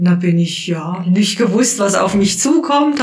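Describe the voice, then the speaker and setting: A woman with a Baden accent and lively intonation, with audible room echo and noticeable background noise. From Baden, southwestern Germany. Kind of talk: casual interview. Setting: hospital room.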